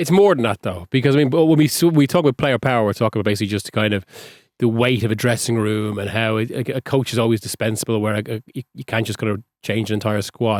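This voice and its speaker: In an Irish accent, a man talks at a very fast pace with ordinary pitch variation, his sound dry and close with no echo on a very clean recording with a silent background. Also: medium pitch for a man. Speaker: football journalist. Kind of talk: casual chat.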